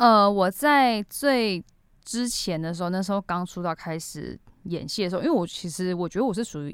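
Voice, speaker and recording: A woman's plain, everyday voice, medium in pitch, at a moderate pace with lively intonation. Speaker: TV actor. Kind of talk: casual interview.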